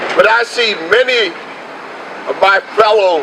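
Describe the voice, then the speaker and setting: Behind this man's voice lies noticeable background noise. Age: 60s. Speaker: union leader. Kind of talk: rally speech. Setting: outdoor demonstration.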